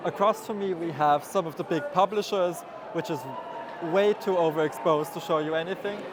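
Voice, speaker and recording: Noticeable background noise is present. The talking goes at a fairly quick clip. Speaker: artist vlogger. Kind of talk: vlog walkthrough. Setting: convention hall.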